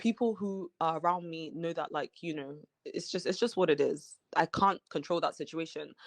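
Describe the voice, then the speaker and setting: A woman with a slight British accent speaks at a moderate pace and fairly low pitch, with ordinary pitch variation, hardly any pauses and a quiet background. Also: dry, close sound with no echo. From Nigeria, then England from mid high school. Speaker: reality TV cast member. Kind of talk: interview.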